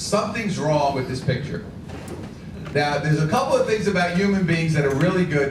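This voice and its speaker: Very fast, animated male speech in an American accent, fairly high in pitch with ordinary pitch variation, amid audible room echo and noticeable background noise. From New York City, Brooklyn and Queens. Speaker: motivational speaker. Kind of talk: speech to a club luncheon. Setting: luncheon meeting with audience.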